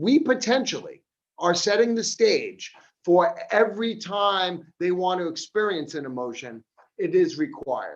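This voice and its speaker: A man's animated, high-pitched voice at a fairly slow pace, with very wide pitch swings. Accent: Long Island. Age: 50s. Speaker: addiction counselor. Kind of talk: seminar talk.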